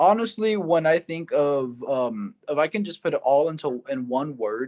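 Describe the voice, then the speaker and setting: A man with an ordinary speaking voice and an American accent, fairly slow with lively intonation. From Texas, San Antonio south side. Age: 20s. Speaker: singer-songwriter. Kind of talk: interview.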